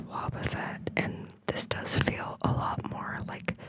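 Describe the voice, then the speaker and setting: Someone whispers very slowly in a relaxed tone over noticeable background noise. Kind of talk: ASMR whisper video, casual talk to camera while sorting cards. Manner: soft, quiet, relaxed.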